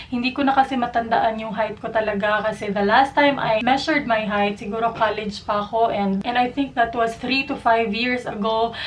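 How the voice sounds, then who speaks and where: Over noticeable background noise, a woman speaks at a fairly quick pace in a fairly high pitch with fairly even intonation. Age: 20s. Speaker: beauty vlogger. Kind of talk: casual vlog talk.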